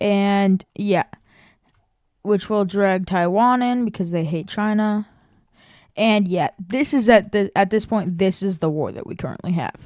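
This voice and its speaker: A woman with a normal speaking voice talks at a medium pitch and fairly slow pace with ordinary pitch variation, in a very clean recording with a silent background. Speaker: YouTuber narrating alternate history map scenario. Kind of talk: casual commentary over map video. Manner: casual, filler-heavy.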